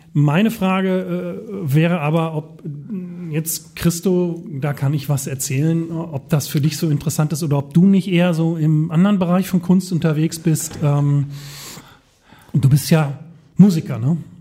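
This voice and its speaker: A man's fairly high-pitched voice, at a fairly slow pace with fairly even intonation. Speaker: podcast co-host and former DJ. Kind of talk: casual chat. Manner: halting, many fillers.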